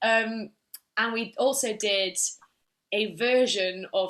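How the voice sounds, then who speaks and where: Speaking with an English accent, a woman uses a fairly high pitch and ordinary pitch variation. It is a very clean recording with a silent background. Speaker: musical theatre actress. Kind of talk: casual interview chat. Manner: animated.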